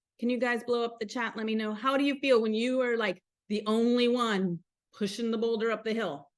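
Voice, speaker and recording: An American-accented woman speaks with an animated tone and fairly high pitch at a moderate pace, over a quiet background. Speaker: motivational coach hosting a mastermind call. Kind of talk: live online group call. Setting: live video call.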